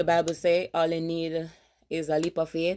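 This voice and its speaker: A woman with a Jamaican accent speaks in a very deep, low voice over a spotless recording with a completely silent background. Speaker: vlogger, army veteran. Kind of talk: casual vlog.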